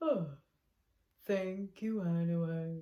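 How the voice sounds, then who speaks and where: This put-on character voice sounds female and sits at a middle pitch. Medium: read story. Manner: slow, polite.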